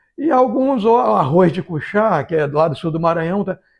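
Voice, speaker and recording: A man talks with a high pitch and lively intonation. The background is quiet. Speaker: vlogger. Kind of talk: casual talk to camera. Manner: hesitant, repeating words.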